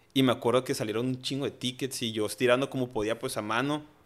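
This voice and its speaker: A man's medium-pitched voice, an ordinary speaking voice with ordinary pitch variation, in a very clean recording against a silent background. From Tijuana, Mexico. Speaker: chef and restaurant owner. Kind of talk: casual chat.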